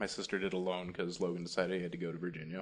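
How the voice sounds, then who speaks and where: A man speaks with a very deep, low pitch. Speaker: podcast host. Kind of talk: casual chat. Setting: new home studio room. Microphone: echoey room sound.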